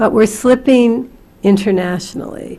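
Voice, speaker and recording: The woman has an unremarkable speaking voice at medium pitch. Her pace is fairly slow and her intonation fairly even. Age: 60s. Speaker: community college president. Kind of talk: hearing testimony.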